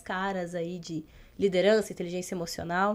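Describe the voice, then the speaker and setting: Very clean audio of a woman, the background completely silent. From Brazil, interior of Rio Grande do Sul. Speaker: emotional intelligence and leadership trainer. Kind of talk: podcast interview.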